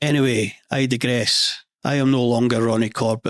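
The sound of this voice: With a west central Scottish accent, a man delivers his words in a deadpan tone and fairly even intonation, the sound dry and close with no echo. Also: medium pitch for a man, moderate pace. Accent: Scottish, west central Scotland.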